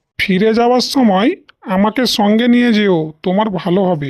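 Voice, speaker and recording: This cartoonish character voice sits fairly high in pitch. Its pace is fairly slow. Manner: friendly, helpful.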